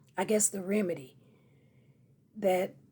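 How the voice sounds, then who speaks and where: Speaking at a fairly slow pace, a woman has a dark, mellow tone, medium pitch and a somewhat breathy voice. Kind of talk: casual talk to camera.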